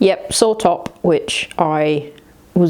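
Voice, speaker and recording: Amid noticeable background noise, a woman talks with ordinary pitch variation. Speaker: running vlogger. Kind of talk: casual vlog. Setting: hotel room. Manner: quiet.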